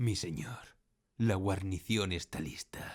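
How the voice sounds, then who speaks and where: Putting on a character voice, a man speaks very deep and low, raspy, at a fairly slow pace. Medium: audio drama. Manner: formal, deferential.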